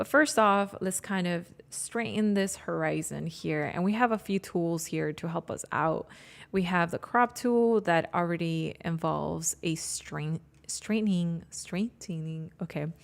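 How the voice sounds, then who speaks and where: On a very clean recording with a silent background, a woman speaks at a fairly slow pace with a non-native accent. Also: fairly low pitch for a woman, ordinary pitch variation. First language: not English. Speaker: graphic designer and photographer. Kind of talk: live tutorial. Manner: halting, self-correcting.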